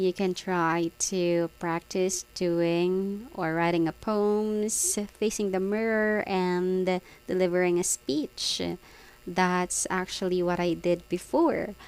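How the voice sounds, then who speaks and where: This speaker has a Filipino accent and talks at a very slow pace. The intonation is fairly even and the loudness very even. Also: woman, medium pitch for a woman. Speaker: vlogger, call center worker. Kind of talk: casual vlog monologue. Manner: hesitant with many fillers.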